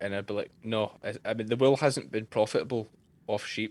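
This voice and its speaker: A man speaks with a Scottish accent at a moderate pace. His pitch is fairly low and his intonation fairly even. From Scotland. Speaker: sheep farmer and shearer. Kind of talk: interview answer.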